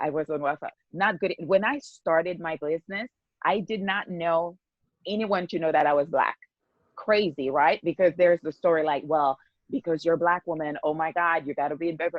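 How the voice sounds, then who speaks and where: A woman with a slight non-native accent, fairly low pitch, ordinary pitch variation and a fairly quick pace. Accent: slight foreign. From Haiti. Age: 40s. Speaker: skincare business owner. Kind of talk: podcast interview.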